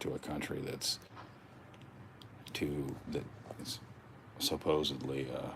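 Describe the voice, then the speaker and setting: A quiet man at a fairly slow pace, with long, frequent pauses and noticeable background noise. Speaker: YouTube livestreamer. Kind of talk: casual livestream chat. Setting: at home, indoors, livestream. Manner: talking quietly; halting.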